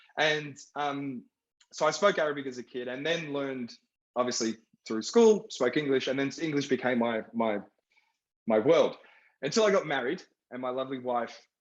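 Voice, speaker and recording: Here a man with an Australian accent talks at a moderate pace with a fairly high pitch. His intonation is lively, and he leaves long, frequent pauses. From Iraq (Baghdad), raised in Australia. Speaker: film director. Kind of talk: panel discussion.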